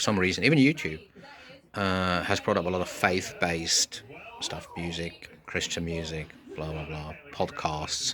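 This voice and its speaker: Through noticeable background noise, a man with a very deep, low pitch speaks at a fairly slow pace with ordinary pitch variation. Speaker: podcaster. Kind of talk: casual monologue. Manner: halting, many fillers.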